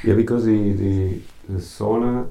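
A somewhat breathy man with a dark, mellow tone and fairly even intonation. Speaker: radio host.

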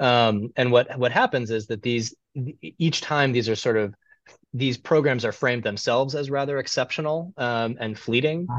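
A man speaks at medium pitch with an American accent, an ordinary speaking voice, ordinary pitch variation, and a moderate pace. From US Midwest (Cleveland, Ohio). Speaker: historian. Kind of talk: interview.

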